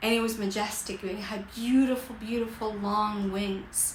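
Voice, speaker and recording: A woman's animated, fairly high voice at a fairly slow pace, with audible room echo and noticeable background noise. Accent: Costa Rican. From Costa Rica. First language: Spanish. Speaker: life coach. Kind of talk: livestream motivational talk. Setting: livestream.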